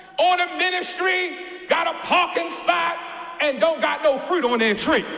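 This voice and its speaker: A man uses a raised, projected voice at a fairly slow pace. Noticeable background noise and audible room echo surround him. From US, Baltimore. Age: young. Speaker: guest preacher. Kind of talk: sermon. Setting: church. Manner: stammering repetitions.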